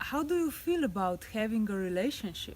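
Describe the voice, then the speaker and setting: A woman with a non-native accent speaks at medium pitch in a somewhat breathy voice. Her pitch swings very widely. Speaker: life coach. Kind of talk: relationship advice talk to camera.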